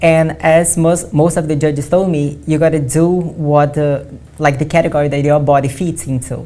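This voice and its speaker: A woman with a Portuguese accent, her very deep, low voice dark and mellow, monotone and flat at a moderate pace. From Brazil. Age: 20s. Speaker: bodybuilding athlete. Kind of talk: interview. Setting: studio.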